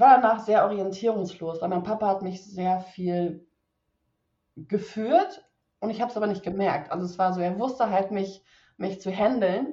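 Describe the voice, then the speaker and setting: The woman speaks in a medium pitch with ordinary pitch variation. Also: moderate pace. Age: 30s. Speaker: PR consultant, podcast guest. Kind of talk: personal testimony in interview. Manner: halting, many fillers and restarts.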